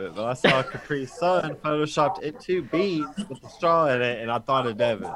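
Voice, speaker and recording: Against noticeable background noise, a man talks at a moderate pace with hardly any pauses. His intonation is lively. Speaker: podcast host. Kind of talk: casual banter over video call. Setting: video call. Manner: loud, animated.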